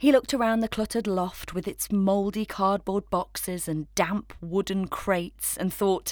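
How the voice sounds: The speaker reads in a natural reading voice, and the intonation is fairly even.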